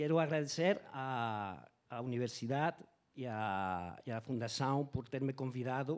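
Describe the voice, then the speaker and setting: A man with a non-native accent speaks at medium pitch with lively intonation. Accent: non-native Portuguese, weak. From Spain. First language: Spanish (speaking Portuguese). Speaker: foreign correspondent. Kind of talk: reading aloud a prepared talk. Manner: halting.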